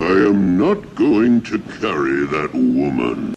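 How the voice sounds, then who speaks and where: Someone speaks at a fairly slow pace in a put-on character voice. Clear background noise runs underneath. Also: man, very deep, low pitch for a man. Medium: voice reel.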